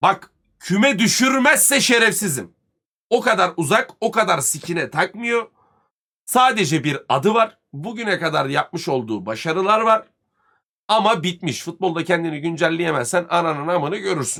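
At a moderate pace, a man with a high pitch and a bright, sharp tone makes very wide pitch swings. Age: 30s. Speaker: football commentator streamer. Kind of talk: live stream rant. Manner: heated.

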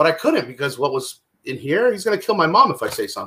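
A man projects a raised voice with a bright, sharp tone. He talks at a fairly quick pace, his pitch swinging very widely. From Toronto, Canada. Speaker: recovery speaker. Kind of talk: personal testimony. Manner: casual. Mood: emotional personal storytelling. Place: home room. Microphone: webcam.

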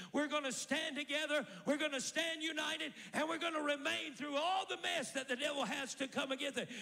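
Raising and projecting his voice, a man with a Southern US accent speaks at a fairly quick pace in an extremely high pitch, his tone bright, sharp and animated, over a quiet background. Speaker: preacher. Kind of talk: sermon. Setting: church with congregation. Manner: animated, rousing call-and-response preaching; declarative, driving cadence with repeated 'I declare' phrases. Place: church. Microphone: handheld.

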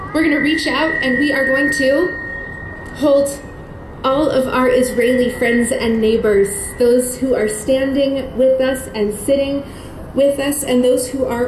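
Noticeable background noise accompanies talking delivered at a fairly slow pace. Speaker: rally speaker. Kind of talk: emotional rally speech, consoling and rallying. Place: street.

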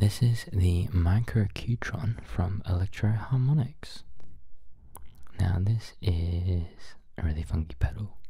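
Soft-spoken words come at a very slow pace over a quiet background. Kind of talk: casual gear tour talk. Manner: soft-spoken, quiet ASMR voice. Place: home room.

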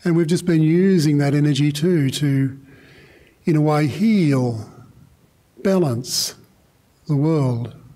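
Very slow, with long, frequent pauses, a man with an Australian accent speaks at a fairly high pitch, with a dark, mellow tone, ordinary pitch variation, and very even loudness. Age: 70s. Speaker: meditation teacher. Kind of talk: guided meditation. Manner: halting. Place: hall. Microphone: studio mic.

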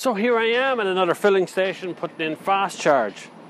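Pitched high, a man talks at a fairly quick pace in an animated tone. The sound is dry with no echo, and there is light background noise. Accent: Irish. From Ireland. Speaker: car reviewer. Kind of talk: casual opinion talk to camera about electric cars. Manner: animated, ranting. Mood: opinionated, mildly exasperated. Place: street.

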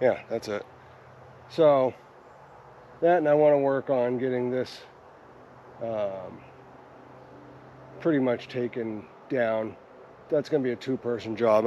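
A man with a dark, mellow tone speaks at a moderate pace, leaving long, frequent pauses. His pitch varies in an ordinary way over light background noise. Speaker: property owner vlogger. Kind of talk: casual vlog chat. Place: open country. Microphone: phone near.

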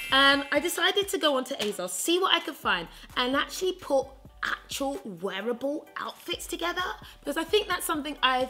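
With faint music in the background, a woman talks at a fairly quick pace in a raised, projected voice. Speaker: fashion vlogger. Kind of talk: casual vlog chat. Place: home room.

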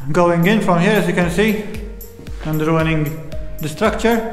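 Faint music plays in the background as a man talks in a high pitch, with audible room echo. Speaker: outdoor vlogger. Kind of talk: casual vlog chat. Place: empty room. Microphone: phone near.

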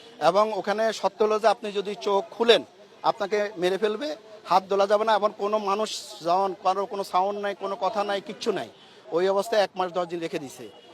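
A man with a high pitch speaks over noticeable background noise. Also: ordinary pitch variation. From Chittagong, Bangladesh. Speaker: businessman, abduction victim. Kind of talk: testimony. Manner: emotional, halting.

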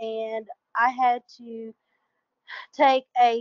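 A woman speaks against a quiet background. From US South. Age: 40s. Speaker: panelist. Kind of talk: panel discussion. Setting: video call. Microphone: video call.

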